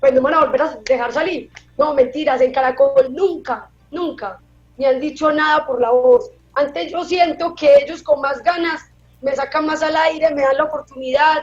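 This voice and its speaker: A woman's high voice in a paisa Colombian accent, with ordinary pitch variation. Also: moderate pace. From Colombia, Antioquia (paisa). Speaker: television reporter. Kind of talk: interview. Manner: casual, conversational.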